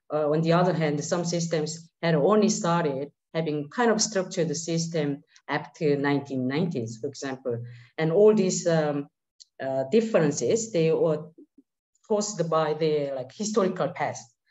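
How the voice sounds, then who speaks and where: A normal speaking voice, a woman talks at a moderate pace and a fairly low pitch with ordinary pitch variation against a quiet background. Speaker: panelist. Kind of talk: panel presentation. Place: home room. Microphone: webcam.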